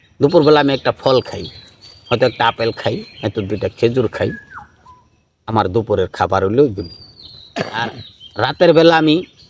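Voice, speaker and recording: A man's plain, everyday voice at medium pitch, with lively intonation and a dry, close sound with no echo. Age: 50s. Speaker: Sufi spiritual speaker. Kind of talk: question-and-answer talk giving advice.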